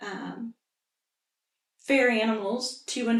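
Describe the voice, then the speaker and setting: The voice has an American accent and monotone, flat intonation, moving at a very slow pace. Audible room echo surrounds it. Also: woman. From central Indiana, US. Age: 60s. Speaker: local resident interviewee. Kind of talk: oral history interview.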